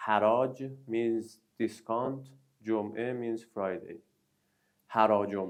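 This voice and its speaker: Speaking at a very slow pace with long, frequent pauses, a man with a Persian accent holds a medium pitch in a monotone, flat intonation. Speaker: news show host. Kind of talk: casual chat. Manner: halting.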